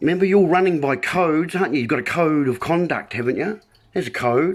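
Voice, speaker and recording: A man talks at a fairly quick pace with lively intonation. His pitch is fairly high. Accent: New Zealand. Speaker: video blogger. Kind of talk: casual monologue livestream. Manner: hesitant, many ums.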